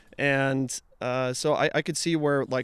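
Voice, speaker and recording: In an American accent, the speaker delivers a monotone, flat intonation at a fairly slow pace. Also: man. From Utah. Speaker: music event promoter. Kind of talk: casual interview chat.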